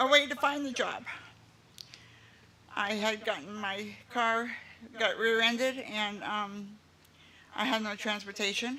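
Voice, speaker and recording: With audible room echo, a woman speaks at a fairly slow pace in a fairly high pitch, her intonation fairly even and her speech broken by long, frequent pauses. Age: 60s. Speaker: resident of senior housing. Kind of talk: public speech at dedication ceremony.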